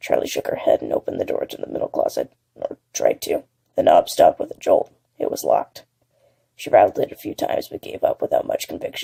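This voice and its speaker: Putting on a character voice, a man talks very fast in an extremely high, raspy pitch. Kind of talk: horror audiobook narration. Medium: read story.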